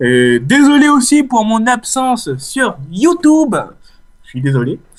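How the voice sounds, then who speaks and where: A man with a Réunion accent, speaking at a very slow pace. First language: Réunion Creole (speaking French). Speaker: gaming YouTuber. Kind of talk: casual let's play commentary. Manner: hesitant, many fillers.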